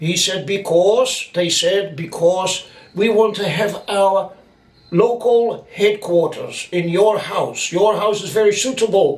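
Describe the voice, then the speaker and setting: A man speaks with a high pitch. His pace is very slow. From Netherlands, Rotterdam. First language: Dutch. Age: 70s. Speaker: eyewitness storyteller. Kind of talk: testimony.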